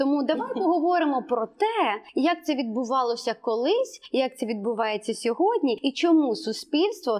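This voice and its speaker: The pace is fairly slow. The intonation is lively. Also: woman. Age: 30s. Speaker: podcast host, ethnology. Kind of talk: casual chat.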